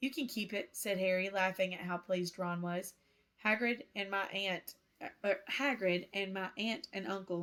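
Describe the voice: Here the text is given a plain reading aloud.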